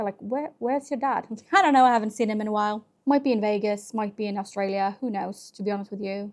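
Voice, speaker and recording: A woman with a Norwegian accent speaks very fast in a fairly high pitch with ordinary pitch variation and hardly any pauses. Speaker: book vlogger. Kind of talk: casual reading vlog. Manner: animated.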